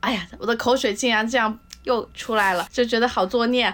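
A woman talks against noticeable background noise. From southern China. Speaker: food lover, former restaurant industry worker. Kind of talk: casual chat.

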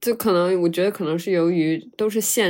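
A plain, everyday voice talks at a moderate pace with ordinary pitch variation. The recording is very clean with a silent background. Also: woman. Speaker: podcast co-host, university student. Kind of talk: casual chat.

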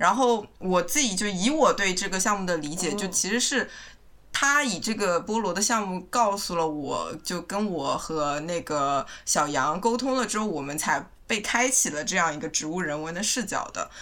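The voice has a bright, sharp tone, lively intonation and a moderate pace. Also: woman, medium pitch for a woman. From Shanghai, China. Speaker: co-founder of a plant culture group. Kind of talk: casual interview chat.

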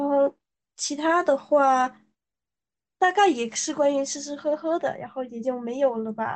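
The speaker moves at a fairly slow pace with big swings in loudness and ordinary pitch variation. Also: woman, high pitch for a woman. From southern China (Guangxi). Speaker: podcast guest. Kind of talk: casual chat.

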